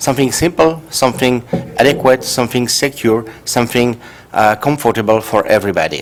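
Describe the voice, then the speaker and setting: A man's medium-pitched voice in a French accent, with ordinary pitch variation, very even loudness and noticeable background noise. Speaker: professor. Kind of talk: conference talk. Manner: halting.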